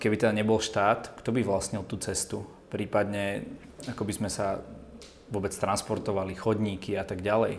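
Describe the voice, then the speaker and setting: Monotone and flat, a man's fairly low voice moves along at a moderate pace. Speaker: interviewer. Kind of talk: interview.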